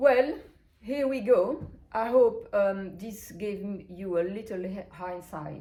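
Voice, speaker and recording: A woman with a non-native accent, medium pitch, a dark, mellow tone, ordinary pitch variation, a very slow pace, big swings in loudness and audible room echo. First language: not English. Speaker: brand founder and interviewer. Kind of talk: interview. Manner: hesitant, many fillers.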